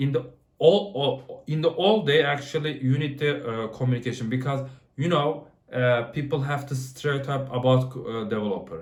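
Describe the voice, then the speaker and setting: A man speaks with a non-native accent, and the room echo is audible. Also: fairly high pitch for a man, ordinary pitch variation, moderate pace. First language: not English. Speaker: software developer. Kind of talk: casual talk to camera. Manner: halting, many fillers and restarts.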